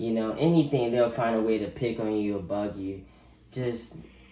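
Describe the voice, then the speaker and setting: Audible room echo surrounds a man whose dark, mellow tone moves at a moderate pace with fairly even intonation. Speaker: youth interview guest. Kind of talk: interview. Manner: halting, self-correcting.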